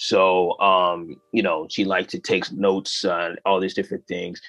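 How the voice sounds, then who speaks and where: A man with a very deep, low pitch and an American accent, at a fairly quick pace, with music in the background. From Western Massachusetts, US. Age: 20s. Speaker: animator and comedian. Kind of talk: interview.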